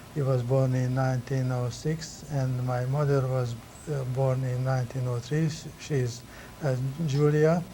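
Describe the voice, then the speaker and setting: In a room with audible echo, a man speaks at medium pitch and a fairly slow pace, his intonation monotone and flat. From Hungary. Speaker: immigrant telling life story. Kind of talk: family interview. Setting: recorded at a college. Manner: halting.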